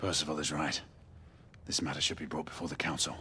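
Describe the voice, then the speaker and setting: A man in a put-on character voice, raspy and very deep, rattles along at a very fast pace over clear background noise. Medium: video game.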